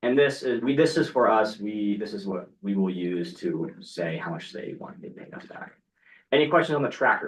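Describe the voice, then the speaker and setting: A man's fairly high voice with vocal fry, very wide pitch swings and big swings in loudness. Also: moderate pace. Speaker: student government committee chair. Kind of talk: committee meeting. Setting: meeting room with online participants. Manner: casual.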